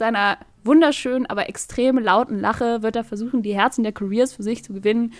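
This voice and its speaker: A woman with an unremarkable speaking voice talks at a fairly quick pace in a fairly high pitch, her intonation fairly even but her loudness swinging widely. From northern Germany. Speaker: podcast co-host. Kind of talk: casual chat.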